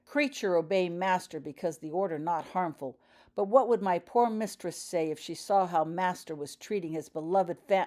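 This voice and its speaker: A hoarse, croaky put-on character voice, female-sounding and fairly low-pitched for a woman, at a moderate pace on a very clean recording with a silent background. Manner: servile, grovelling, grumbling.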